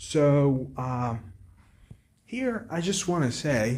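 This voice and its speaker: A somewhat breathy male voice with very wide pitch swings. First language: Arabic. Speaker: book vlogger. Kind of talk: casual monologue. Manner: halting.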